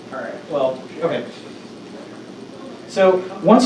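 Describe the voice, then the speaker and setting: Through noticeable background noise and audible room echo, a man speaks. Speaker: workshop presenter, data scientist. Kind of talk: lecture. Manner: fast.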